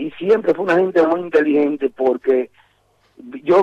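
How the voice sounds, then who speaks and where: This man has a plain, everyday voice, moving at a moderate pace with ordinary pitch variation. The sound is dry and close, with no echo. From Cuba. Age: 50s. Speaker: musician. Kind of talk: interview.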